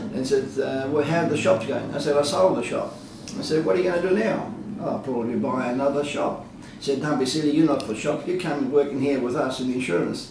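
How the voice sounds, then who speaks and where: Very fast delivery amid noticeable background noise and audible room echo. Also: man, fairly high pitch for a man, ordinary pitch variation. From Australia. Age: 70s. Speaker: retired insurance broker and community leader. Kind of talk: interview. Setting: his office. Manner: hesitant, many fillers.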